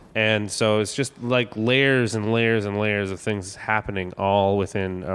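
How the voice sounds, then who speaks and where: A man talks in an ordinary speaking voice, fairly low in pitch, at a moderate pace. His intonation is fairly even and he hardly pauses at all. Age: 30s. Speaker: comedian. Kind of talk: personal testimony interview.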